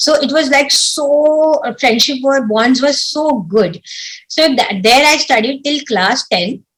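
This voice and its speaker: A woman's very slow speech with lively intonation. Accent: Marathi. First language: Marathi. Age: young. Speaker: civil servant. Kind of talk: interview. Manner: halting.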